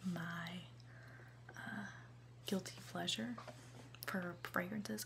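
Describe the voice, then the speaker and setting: The voice is soft-spoken and moves at a very slow pace. Noticeable background noise runs underneath. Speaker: college student. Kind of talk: ASMR unboxing, casual chatting.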